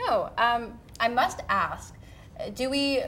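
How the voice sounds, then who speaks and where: A high-pitched woman with a Canadian accent, amid audible room echo and noticeable background noise. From British Columbia, Canada. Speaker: TV show host. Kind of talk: casual chat.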